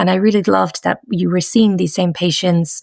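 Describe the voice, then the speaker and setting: The recording is very clean with a silent background and a dry, close sound with no echo. A woman speaks at a fairly quick pace in a Dublin accent. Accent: Irish (Dublin). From Ireland (Dublin). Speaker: pediatric rheumatologist. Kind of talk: interview. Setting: podcast.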